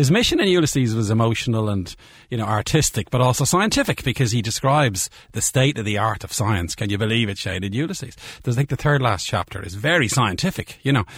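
A man with a medium-pitched, somewhat breathy voice talks at a very fast pace in a very clean recording with a silent background. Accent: Dublin. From Ireland. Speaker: biochemistry professor. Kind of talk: casual interview chat. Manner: animated.

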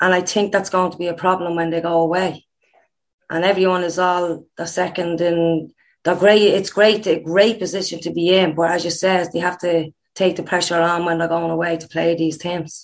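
An Irish accent with flat, monotone intonation at a moderate pace, against a quiet background. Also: woman, fairly low pitch for a woman. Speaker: former international footballer, coach. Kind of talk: interview.

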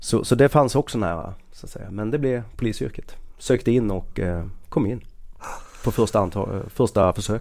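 A man speaks at a moderate pace in an unremarkable speaking voice, with ordinary pitch variation and big swings in loudness. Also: medium pitch for a man. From Skåne, southern Sweden. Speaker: police officer. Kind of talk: casual chat.

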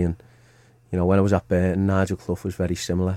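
Recorded very cleanly against a silent background, a man with a Liverpool accent speaks in a very deep, low pitch with a dark, mellow tone and monotone, flat intonation. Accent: Scouse (Liverpool). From Merseyside, Liverpool. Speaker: football manager, former player. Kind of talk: casual interview. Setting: studio.

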